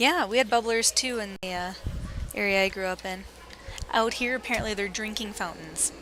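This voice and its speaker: Against noticeable background noise, a woman with an American accent speaks fairly quickly in a fairly high pitch. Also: ordinary pitch variation. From Wisconsin, US Midwest. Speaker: curling commentator. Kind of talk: live sports commentary.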